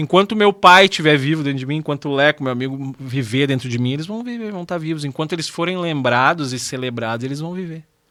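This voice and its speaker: With hardly any pauses, a man speaks very fast in a fairly high pitch and a bright, sharp tone. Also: lively intonation. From southern Brazil, Rio Grande do Sul. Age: 40s. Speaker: radio host. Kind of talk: casual interview chat.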